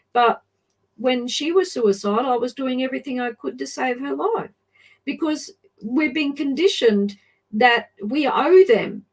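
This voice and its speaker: A woman speaks slowly-ish with a high pitch and lively intonation. She has an Australian accent. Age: 60s. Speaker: adoption advocate. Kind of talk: interview testimony.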